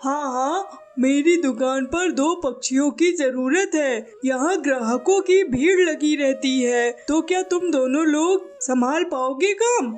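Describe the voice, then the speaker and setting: A cartoonish character voice speaks at a high pitch and a fairly slow pace. Background noise is clear. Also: hardly any pauses. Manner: brusque, condescending.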